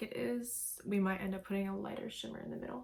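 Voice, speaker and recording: A woman's somewhat breathy, medium-pitched voice moves at a moderate pace. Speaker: makeup tutorial creator. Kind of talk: casual makeup tutorial talk to camera. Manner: casual, friendly.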